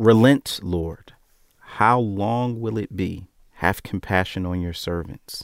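Very slow speech with ordinary pitch variation. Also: man, fairly low pitch for a man. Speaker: Bible study participant. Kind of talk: small group Bible study conversation.

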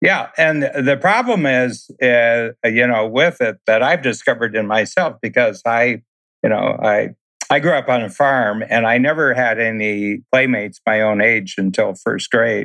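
The man's voice sits at medium pitch, bright and sharp in tone. He talks fairly slowly, with ordinary pitch variation. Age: 70s. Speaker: entrepreneur and business coach. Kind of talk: interview conversation.

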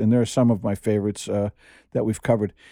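Speaking with a New York accent, a man uses a fairly low pitch, a dark, mellow tone and fairly even intonation. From US Northeast, New York City (Queens). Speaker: podcast co-host, writer. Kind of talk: casual chat. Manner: halting.

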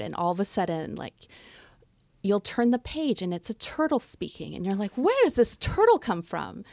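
A woman with a Canadian accent and an unremarkable speaking voice talks at a moderate pace in a medium pitch. Her intonation is lively, and the sound is dry and close with no echo. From Montreal, Quebec, Canada. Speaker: novelist. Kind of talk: interview. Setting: studio.

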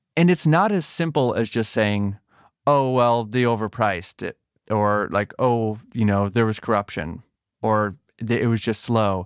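A man with an American accent speaks at a fairly slow pace in an unremarkable speaking voice, medium in pitch with ordinary pitch variation, recorded dry and close with no echo, very clean against a silent background. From Massachusetts. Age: 30s. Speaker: podcast host and journalist. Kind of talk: interview conversation.

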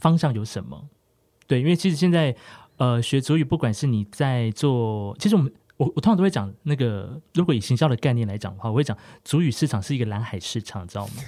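A man's dark, mellow voice at a medium pitch, fairly quick and lively in intonation, in a very clean recording with a silent background. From Taiwan, Hualien (Amis community). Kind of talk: casual interview.

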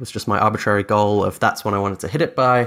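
This man speaks with a Dutch accent. His voice sits fairly low. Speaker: software founder. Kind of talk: interview conversation.

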